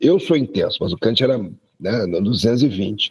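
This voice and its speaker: Somewhat breathy, a man of medium pitch talks at a moderate pace with lively intonation. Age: 60s. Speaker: university professor. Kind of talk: casual chat.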